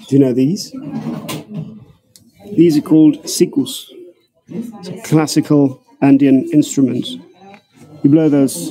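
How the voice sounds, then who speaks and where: Music plays in the background as a man speaks at a fairly slow pace, with lively intonation and long, frequent pauses. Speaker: tour guide. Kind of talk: live walking tour commentary. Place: shop. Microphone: phone near.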